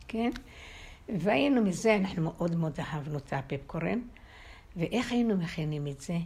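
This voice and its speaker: A woman's fairly low, somewhat breathy voice with very wide pitch swings and long, frequent pauses. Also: moderate pace. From Israel. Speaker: interviewee. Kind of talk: storytelling. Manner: halting.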